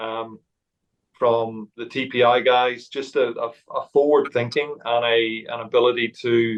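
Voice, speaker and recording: A man speaks at a fairly slow pace. His intonation is monotone and flat. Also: medium pitch for a man. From Northern Ireland. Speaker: golf coach. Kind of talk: casual chat. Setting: office. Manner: halting.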